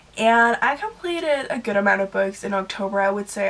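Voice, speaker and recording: A woman with a Danish accent talks at a fairly quick pace in a medium pitch. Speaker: book vlogger. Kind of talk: casual monologue.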